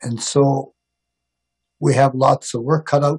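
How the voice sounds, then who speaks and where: Over a quiet background, a man talks at a fairly slow pace with a fairly high pitch. His voice is somewhat breathy and his intonation fairly even. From Northwest Territories, Canada. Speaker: First Nations regional chief. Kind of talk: press conference. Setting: video call. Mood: earnest, hopeful. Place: home room. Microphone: video call.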